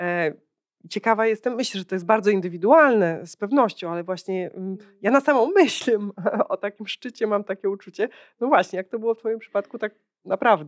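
Against a quiet background, the speech moves at a fairly quick pace with ordinary pitch variation and big swings in loudness. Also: woman. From Poland. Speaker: podcast host and company founder; podcast host. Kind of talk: interview, podcast host. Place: hall. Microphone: handheld.

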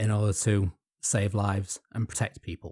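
A man's somewhat breathy voice, dark and mellow in tone, at a moderate pace, with a dry, close sound, no echo, and a very clean recording against a silent background. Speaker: podcast co-host. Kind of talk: casual chat.

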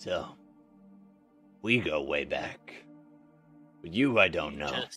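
A man does a gruff, put-on character voice at a medium pitch. He goes at a fairly slow pace while faint music plays behind him. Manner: gruff, taunting, swaggering.

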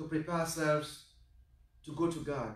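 Audible room echo surrounds a man speaking at a moderate pace. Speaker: priest celebrating Mass. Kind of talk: liturgical address and prayer. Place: church. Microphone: camera far.

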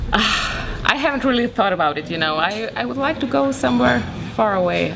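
The pace is moderate, and there is noticeable background noise behind the speech. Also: woman. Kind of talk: interview answer. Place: hall.

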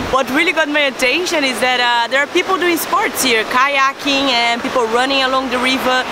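Over loud background noise, a woman speaks with ordinary pitch variation in a dry sound with no echo. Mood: cheerful, laughing. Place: waterside. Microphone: phone near.

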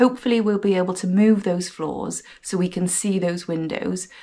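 A woman speaks with fairly even intonation. Her pace is moderate. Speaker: renovation vlogger. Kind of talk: casual vlog chat. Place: home room. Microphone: phone near.

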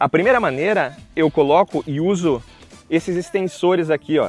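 This man has a high voice and speaks at a moderate pace. The sound is dry with no echo, and faint music plays in the background. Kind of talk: casual product tutorial. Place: waterside.

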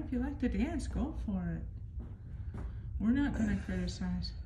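Over noticeable background noise, a woman speaks at a moderate pace with long, frequent pauses. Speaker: paranormal investigator. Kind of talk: spirit communication session. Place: hall. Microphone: phone near.

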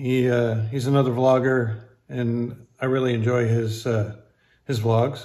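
A somewhat breathy voice at a very slow pace, with ordinary pitch variation against a quiet background. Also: man. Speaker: poker vlogger. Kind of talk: casual vlog chat, sponsor mention. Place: home room. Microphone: phone near.

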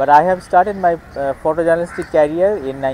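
Light background noise sits under a man talking at a moderate pace with fairly even intonation, the sound dry with no echo. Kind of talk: interview answer. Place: open country.

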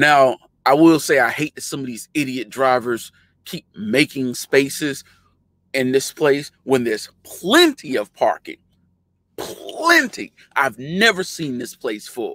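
Over a quiet background, a man speaks fairly slowly with ordinary pitch variation and big swings in loudness, in a dry sound with no echo. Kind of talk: casual tutorial chat. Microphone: webcam.

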